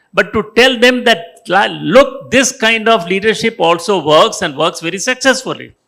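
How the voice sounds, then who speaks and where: A man with an Indian accent, high in pitch, raised and projected, bright and sharp in tone, with lively intonation at a fairly slow pace. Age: 80s+. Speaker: retired business executive and author. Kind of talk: panel discussion. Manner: halting.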